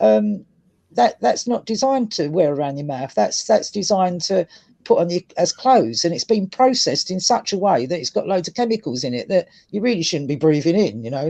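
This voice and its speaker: Someone speaks at a fairly quick pace with a Cockney accent. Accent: Cockney London English. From London, England. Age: 60s. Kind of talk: casual chat.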